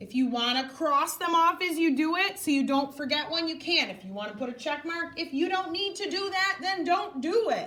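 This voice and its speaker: With hardly any pauses, a raised, projected voice moves at a moderate pace with lively intonation and audible room echo. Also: woman, extremely high pitch for a woman. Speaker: elementary school math teacher. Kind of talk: classroom instruction.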